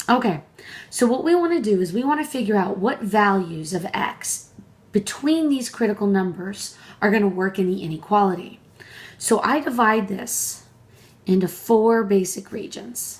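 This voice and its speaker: With lively intonation and a somewhat breathy quality, a woman of medium pitch talks at a moderate pace. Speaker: math professor. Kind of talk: tutorial.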